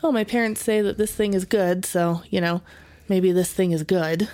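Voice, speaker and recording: A woman's normal speaking voice with an American accent, at a moderate pace with ordinary pitch variation. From Las Vegas, Nevada. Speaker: podcast co-host. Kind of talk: casual chat.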